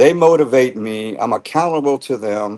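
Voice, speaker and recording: A man with a normal speaking voice and an American accent talks at a moderate pace and medium pitch, with ordinary pitch variation. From Texas. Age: 60s. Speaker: fitness client, ex-military. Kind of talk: testimony. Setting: live stream.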